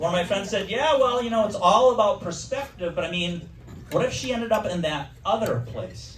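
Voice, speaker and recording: With an American accent, a man speaks at a fairly quick pace in a high pitch with lively intonation. There is audible room echo and noticeable background noise. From Wisconsin. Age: 60s. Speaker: comedian. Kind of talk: stand-up.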